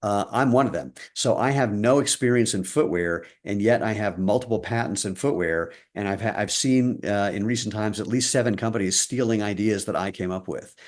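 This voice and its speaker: A plain, everyday voice from a man, fairly low in pitch, at a fairly quick pace with hardly any pauses and ordinary pitch variation, against a quiet background. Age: 60s. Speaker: footwear company co-founder. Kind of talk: interview.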